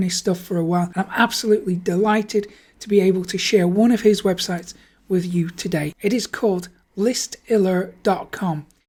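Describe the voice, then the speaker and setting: A woman speaks at a moderate pace in a medium pitch, somewhat breathy, with a dark, mellow tone. The recording is very clean with a silent background. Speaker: online marketing YouTuber. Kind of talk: screen-share tutorial. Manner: enthusiastic.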